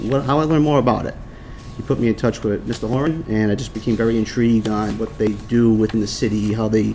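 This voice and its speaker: Speaking at a very fast pace with a strong Boston accent, a man keeps a medium pitch and ordinary pitch variation. Audible room echo is present. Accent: thick Boston-area. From Rhode Island. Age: 30s. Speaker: firefighter. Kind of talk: public testimony at council meeting.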